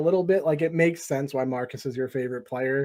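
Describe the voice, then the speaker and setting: The background is silent on a very clean recording. On it, a man talks with an American accent. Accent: Boston accent, comes out at random times. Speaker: sports podcast host. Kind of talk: casual chat. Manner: animated.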